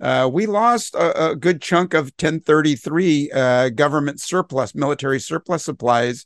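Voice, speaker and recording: Against a quiet background, a man with an ordinary speaking voice and fairly high pitch talks at a moderate pace with ordinary pitch variation, the sound dry and close with no echo. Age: 60s. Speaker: retired police officer, podcast host. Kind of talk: panel discussion.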